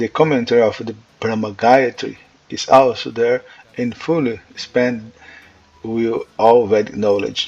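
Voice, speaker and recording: A man with a Portuguese accent speaks at a medium pitch and a fairly slow pace. His intonation is fairly even, and there is noticeable background noise. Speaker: religious teacher. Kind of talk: lecture. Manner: halting.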